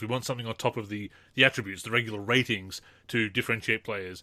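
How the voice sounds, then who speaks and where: Very fast and fairly even in intonation, a man with an Australian accent speaks in a bright, sharp tone on a very clean recording with a silent background. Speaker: podcast host. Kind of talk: casual chat.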